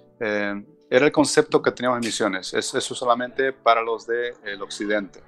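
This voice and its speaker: Music plays in the background as a man speaks. His pitch is medium and his pace moderate. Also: ordinary pitch variation. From southern Bolivia, Argentine border. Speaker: missions base director. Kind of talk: interview. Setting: remote call.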